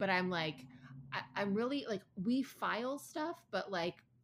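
A woman with an American accent and very wide pitch swings. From Ann Arbor, Michigan. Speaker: podcast co-host, former chef. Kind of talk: casual chat.

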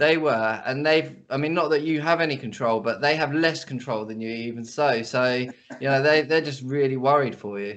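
This man has a plain, everyday voice pitched fairly high. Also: ordinary pitch variation, moderate pace, hardly any pauses. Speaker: podcast host. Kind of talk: casual interview chat. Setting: video or phone call.

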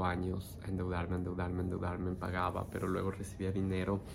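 A man's very deep, low voice at a moderate pace, with audible room echo. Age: 30s. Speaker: meditation teacher and life coach. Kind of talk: personal storytelling monologue. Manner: unscripted, with hesitations.

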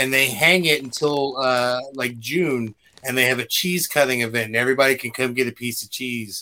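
A man with a plain, everyday voice, medium pitch, fairly even intonation, and a moderate pace, on a very clean recording with a silent background. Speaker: podcast co-host. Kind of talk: casual chat.

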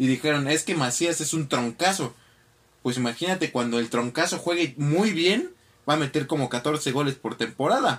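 A man with a normal speaking voice, fairly high pitch, ordinary pitch variation and a moderate pace. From Mexico City. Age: 20s. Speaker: lawyer and football podcaster. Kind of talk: casual chat.

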